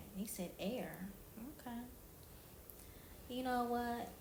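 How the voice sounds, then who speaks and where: A woman with a fairly high pitch and ordinary pitch variation speaks fairly slowly amid noticeable background noise and audible room echo. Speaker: street-style interviewer on a video chat app. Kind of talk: casual interview.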